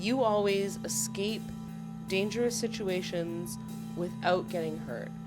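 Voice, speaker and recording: A woman speaks at a fairly slow pace over music in the background. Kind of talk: personal storytime narration. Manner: casual, reflective.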